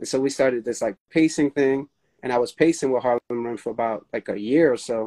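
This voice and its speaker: A man with an American accent talks at a fairly quick pace in a medium pitch with a dark, mellow tone and ordinary pitch variation, recorded dry and close with no echo. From New York City. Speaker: run crew leader. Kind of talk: casual interview.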